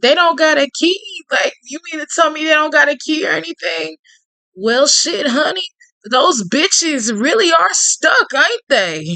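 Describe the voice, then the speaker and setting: A woman puts on a character voice, drawling at a moderate pace. Her pitch is high and swings very widely. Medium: game stream. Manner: drawling, falsely sweet, calls others honey.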